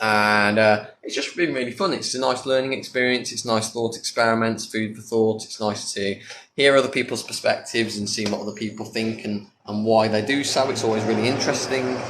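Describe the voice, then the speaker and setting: Noticeable background noise accompanies this man's voice. He talks at a fairly quick pace in a medium pitch. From UK. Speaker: atheist content creator. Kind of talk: livestream Q&A. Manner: casual, lots of fillers.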